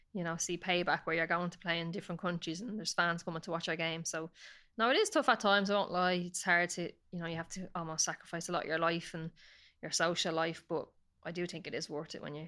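In a very fast delivery with an Irish accent, a woman with a fairly low pitch and a bright, sharp tone keeps her intonation fairly even while her loudness swings widely, all in a very clean recording with a silent background. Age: 30s. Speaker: professional footballer. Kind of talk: casual interview chat.

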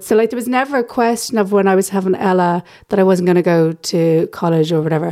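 With an Irish accent, a woman speaks at medium pitch in a dark, mellow tone with ordinary pitch variation. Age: 30s. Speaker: stand-up comedian. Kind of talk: casual interview.

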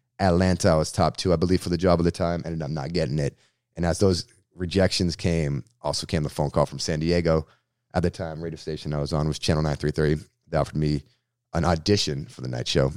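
A man with an American accent speaks very fast in a very deep, low voice with vocal fry, recorded dry and close with no echo, very clean, against a silent background. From Massachusetts, Boston area (Framingham). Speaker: radio host and comedian. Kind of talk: casual interview. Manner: animated.

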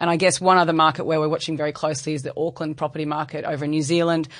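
Against a quiet background, a woman with an Australian accent talks at a very fast pace in a very deep, low pitch. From Brisbane, Australia. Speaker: investment bank sales executive. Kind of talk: interview. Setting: studio.

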